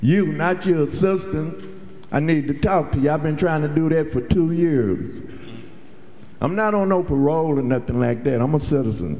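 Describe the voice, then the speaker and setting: A man's fairly high voice carries a dark, mellow tone and lively intonation. His loudness stays very even, and audible room echo surrounds him. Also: moderate pace. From Dallas, Texas. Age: 70s. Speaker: audience member at town hall. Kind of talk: public question at town hall.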